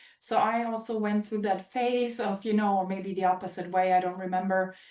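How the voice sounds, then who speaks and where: A woman speaks at a fairly quick pace and medium pitch. Noticeable background noise runs beneath her. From Germany. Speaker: former exchange student. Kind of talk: casual chat. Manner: animated.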